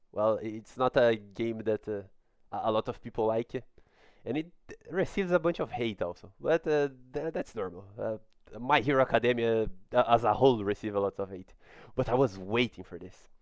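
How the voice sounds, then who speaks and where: Speaking at a fairly quick pace with a non-native accent and lively intonation, the voice swings widely in loudness and breaks into long, frequent pauses, with a dry, close sound, no echo and a quiet background. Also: man, medium pitch for a man. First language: not English. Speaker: gaming YouTuber. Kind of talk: video game trailer breakdown. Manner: halting, many fillers.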